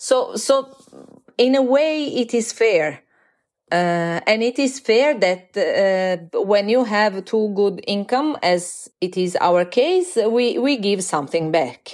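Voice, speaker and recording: A woman with an Italian accent at a fairly high pitch, a very slow pace, very wide pitch swings and very even loudness, in a very clean recording with a silent background. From Italy, Florence. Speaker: university lecturer. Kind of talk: interview.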